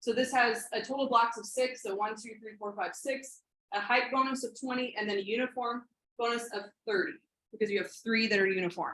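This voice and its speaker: Her tone bright and sharp, a woman with a fairly high pitch talks at a fairly quick pace with ordinary pitch variation and big swings in loudness. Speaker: robotics coach trainer. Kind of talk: training workshop presentation. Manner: fast; halting, many fillers.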